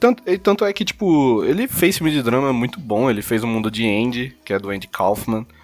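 The voice moves at a fairly quick pace with hardly any pauses. Its pitch swings very widely. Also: man, medium pitch for a man. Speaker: podcast co-host. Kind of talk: casual chat. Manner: animated.

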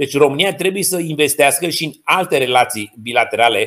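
Talking at a fairly quick pace, a man has a plain, everyday voice with ordinary pitch variation. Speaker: geopolitics and diplomacy expert. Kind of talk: interview.

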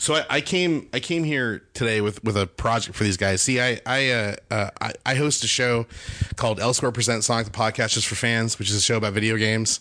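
A man speaks at a fairly quick pace and medium pitch. His pitch variation is ordinary. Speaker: cartoonist and animation director. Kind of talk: casual chat. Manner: animated.

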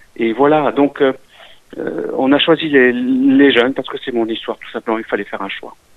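Noticeable noise sits behind the man, whose medium-pitched voice keeps a moderate pace. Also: fairly even intonation, big swings in loudness. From eastern France (Alsace), Italian immigrant family. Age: 60s. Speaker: business owner, restaurant franchisee. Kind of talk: interview.

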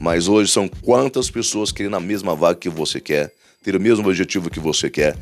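In a very clean recording with a silent background, a man with a fairly low voice talks in an animated tone at a fairly quick pace, with ordinary pitch variation. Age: 50s. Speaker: motivational podcaster. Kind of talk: motivational monologue.

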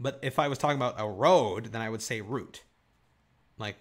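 A man with a Michigan accent and medium pitch speaks with ordinary pitch variation in a very clean recording against a silent background. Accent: general American, Michigan. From Southeast Michigan. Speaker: podcast host. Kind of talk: casual chat.

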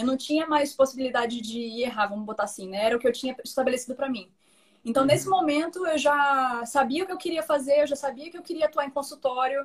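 A woman with a high voice talks at a very fast pace with ordinary pitch variation. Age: 30s. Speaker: nutritionist. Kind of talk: live stream interview.

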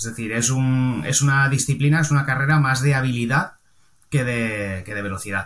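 A man talks at a moderate pace with ordinary pitch variation. It is a plain, everyday voice. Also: medium pitch for a man. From Valencia, Spain. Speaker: car body repairer and painter. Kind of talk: casual interview chat.

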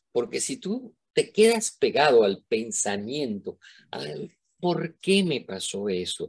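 A man talks at a very slow pace, his loudness swinging widely. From Venezuela. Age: old. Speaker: retired professor and neuroscientist. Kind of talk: interview. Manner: animated.

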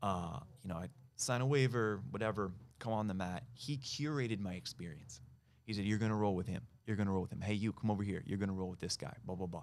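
With an American accent, a man speaks at a very fast pace, his fairly low pitch showing ordinary pitch variation. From California, US. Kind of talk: casual interview chat.

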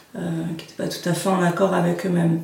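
Audible room echo surrounds a woman speaking at a fairly low pitch. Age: 30s. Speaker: NLP coach. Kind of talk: interview. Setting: her practice office, filmed.

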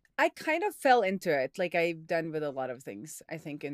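A woman speaks with a Norwegian accent at a very deep, low pitch. The sound is dry and close, with no echo. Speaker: software developer and indie hacker. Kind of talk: casual interview chat.

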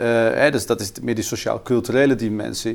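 Medium in pitch with ordinary variation, a man talks at a fairly quick pace. The recording is very clean and the background silent. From Netherlands, Twente (Haaksbergen). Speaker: political researcher. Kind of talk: in-depth interview. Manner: halting, many repeated words.

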